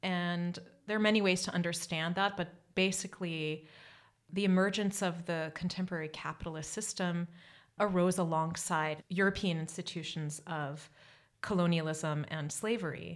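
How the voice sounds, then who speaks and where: A woman's ordinary speaking voice with an American accent, fairly low in pitch, at a moderate pace with fairly even intonation, in a very clean recording with a silent background. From US. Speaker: anthropologist. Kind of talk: interview.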